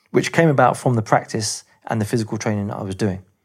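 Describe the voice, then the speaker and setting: With an English accent, a man talks very fast at a medium pitch and with ordinary pitch variation. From England. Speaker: movement teacher. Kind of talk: interview storytelling.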